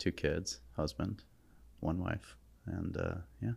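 A man speaks very slowly in a very deep, low pitch with vocal fry. His intonation is lively. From New Haven, Connecticut. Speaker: startup founder. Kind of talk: casual interview. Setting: podcast studio.

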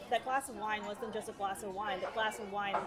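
Medium-pitched female voice with an American accent, audible room echo and crowd noise in the background. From New York City. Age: 30s. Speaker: lawyer in recovery. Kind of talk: casual interview, personal testimony. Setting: busy diner.

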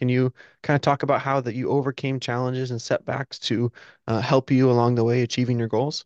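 Against a quiet background, a plain, everyday voice with fairly even intonation comes through with a dry, close sound and no echo. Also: man. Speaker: podcast host. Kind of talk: casual interview.

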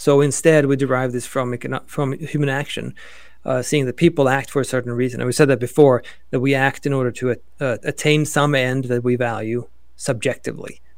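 Intonation is monotone and flat. The man speaks at a fairly quick pace. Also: medium pitch for a man. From Sweden. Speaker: economics professor. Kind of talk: interview.

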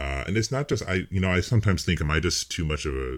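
A man with an American accent and vocal fry at a very fast pace, in a very clean recording with a silent background. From United States. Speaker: pseudonymous political writer. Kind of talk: podcast interview. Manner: soft-spoken.

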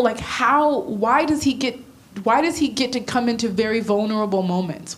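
Over noticeable background noise, a woman with a high voice talks at a moderate pace with ordinary pitch variation. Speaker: church attendee. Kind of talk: casual chat. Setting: stage with audience.

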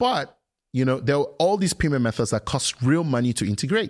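The man's very fast delivery comes through on a very clean recording with a silent background. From Nigeria (Lagos). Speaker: tech entrepreneur. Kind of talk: interview.

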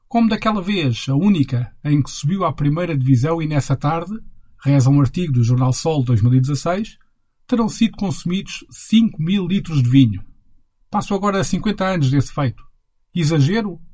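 With a dark, mellow tone and lively intonation, a man speaks at a moderate pace in a fairly high pitch. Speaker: podcast host and narrator. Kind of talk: scripted narration.

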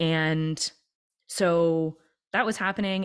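A woman with a Canadian accent speaks at a fairly low pitch. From Canada, Toronto. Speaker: entrepreneur and leadership coach. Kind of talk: interview conversation.

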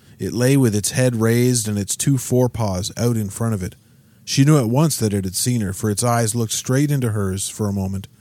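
Ordinary variation in pitch from a natural reading voice

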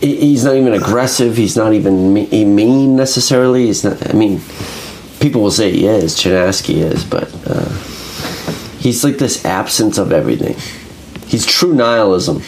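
Audible room echo and noticeable background noise surround a man's voice. He speaks at a moderate pace with very even loudness. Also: medium pitch for a man, ordinary pitch variation. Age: 30s. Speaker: podcast host and small press publisher. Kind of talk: casual chat.

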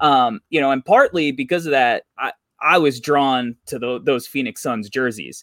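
An unremarkable speaking voice with an American accent comes at a moderate pace with ordinary pitch variation, in a dry, close sound with no echo on a very clean recording with a silent background. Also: man, fairly high pitch for a man. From New York. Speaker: basketball content creator and magazine publisher. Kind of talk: casual podcast interview.

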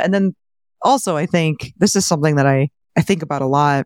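A woman with a plain, everyday voice talks at a fairly quick pace. Her pitch variation is ordinary, and the sound is dry and close with no echo. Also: very clean recording, silent background. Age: 30s. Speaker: real estate investor and finance podcaster. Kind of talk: interview.

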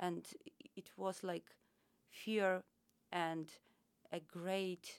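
A woman is speaking here. She talks with a Ukrainian accent. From Ukraine. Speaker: travel agent and volunteer. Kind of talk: casual interview chat. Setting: studio. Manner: halting, searching for words.

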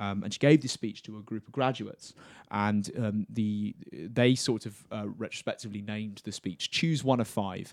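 A man with a southern English accent has a fairly low voice. The recording is very clean with a silent background and a dry, close sound with no echo. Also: ordinary pitch variation, moderate pace. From Cambridgeshire, England. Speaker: university student. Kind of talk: casual chat.

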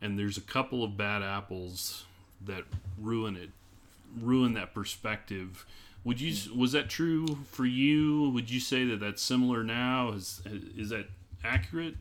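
A fairly slow pace with an American accent and ordinary pitch variation. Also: man, medium pitch for a man. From US Midwest; small-town Illinois. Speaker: podcast host. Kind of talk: casual interview conversation.

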